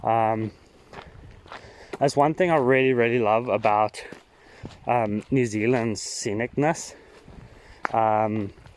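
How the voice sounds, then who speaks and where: A man talks at a very slow pace with very even loudness and long, frequent pauses, while noticeable background noise plays behind him. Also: medium pitch for a man, ordinary pitch variation. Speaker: trail walking vlogger. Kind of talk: walking vlog monologue. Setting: outdoors on a walking trail. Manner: halting, many fillers; casual, thinking aloud.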